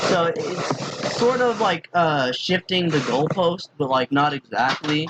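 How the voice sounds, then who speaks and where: Very slowly and with lively intonation, a man speaks in a dry, close sound with no echo over noticeable background noise. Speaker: YouTuber explaining logical fallacies. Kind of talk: casual tutorial. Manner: halting, many fillers.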